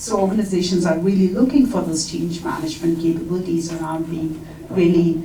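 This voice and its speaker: At a moderate pace, a woman with an Indian accent speaks in a fairly low voice with fairly even intonation, amid audible room echo and noticeable background noise. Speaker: HR talent executive, panelist. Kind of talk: conference panel discussion. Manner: hesitant, frequent fillers.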